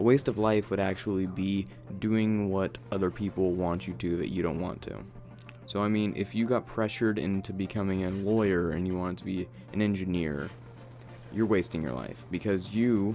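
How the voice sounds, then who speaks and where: A man talks with a very deep, low pitch. His intonation is lively. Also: moderate pace. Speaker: gaming commentator. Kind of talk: gameplay commentary monologue. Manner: casual, filler-heavy.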